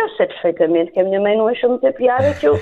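Her intonation lively, a woman speaks very fast at a fairly high pitch. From Portugal. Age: 30s. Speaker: primary school teacher and translator. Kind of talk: interview.

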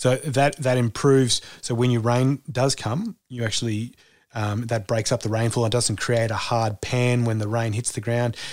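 A man's medium-pitched voice at a moderate pace, with fairly even intonation, on a very clean recording with a silent background. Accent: Australian. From Australia, rural farm. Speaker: former foreign correspondent turned cattle station hand. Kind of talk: interview conversation.

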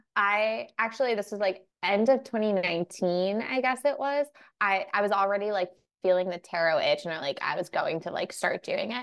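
This woman has an ordinary speaking voice with an American accent, medium pitch, ordinary pitch variation and a moderate pace. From New York. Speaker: tarot reader and psychic medium. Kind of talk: casual interview chat.

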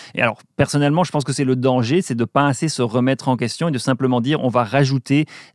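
Recorded very cleanly against a silent background, a man speaks at medium pitch with ordinary pitch variation. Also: dry, close sound with no echo. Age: 50s. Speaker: energy professor. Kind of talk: interview. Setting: studio. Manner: halting.

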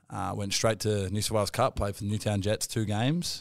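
In an Australian accent, a man with a fairly low pitch speaks at a very fast pace with fairly even intonation, recorded very cleanly against a silent background. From Australia, Wollongong. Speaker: professional rugby league player. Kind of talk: casual interview.

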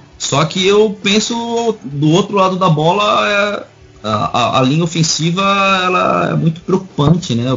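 A man speaks at a fairly slow pace in a high voice, his intonation lively and his loudness very even, with noticeable background noise. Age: 40s. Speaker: YouTuber and football fan. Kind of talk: casual chat. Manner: halting.

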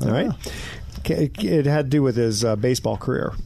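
A man's voice over noticeable background noise. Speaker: radio host. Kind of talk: radio host patter, plugging sponsors and trivia. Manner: upbeat, promotional, chatty.

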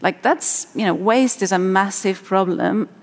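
A woman's medium-pitched voice with a Spanish accent. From Spain. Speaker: marine ecologist. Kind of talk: panel discussion.

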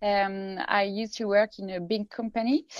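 A woman with a French accent, at a fairly slow pace with fairly even intonation. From France. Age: 30s. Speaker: tech company founder. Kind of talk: interview.

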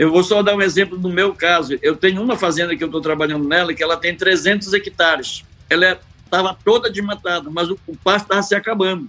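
A man speaks in a raised, projected voice with a bright, sharp tone and a high pitch. His pace is moderate and his pitch varies in an ordinary way. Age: 70s. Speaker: cattle rancher and veterinarian. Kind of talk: interview.

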